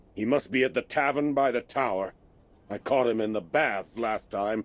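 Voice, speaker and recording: Here a man performs a put-on character voice at a medium pitch. The recording is very clean, with a silent background. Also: moderate pace. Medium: video game. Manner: blustery, quick-tempered.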